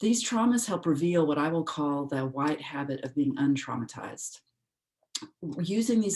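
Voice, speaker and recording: A soft-spoken woman talks at a moderate pace with a very deep, low pitch. Her intonation is lively. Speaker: philosopher presenting a paper. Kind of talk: academic paper reading. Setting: video call.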